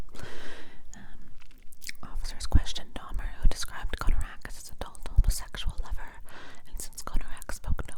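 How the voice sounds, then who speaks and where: A whispering voice moves at a moderate pace amid noticeable background noise. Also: woman. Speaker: ASMR content creator. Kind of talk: ASMR true crime reading from a book. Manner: whispered, soft.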